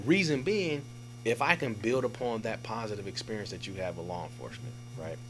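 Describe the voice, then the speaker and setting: Through audible room echo, a man with an American accent talks at a fairly quick pace in a medium pitch, with ordinary pitch variation and big swings in loudness. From Oakland, California. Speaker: police captain. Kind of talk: casual interview. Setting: studio.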